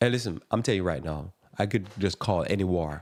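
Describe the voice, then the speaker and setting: A man with a strong Jamaican accent talks in a dry, close sound with no echo. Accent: thick Jamaican. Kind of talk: live radio talk monologue.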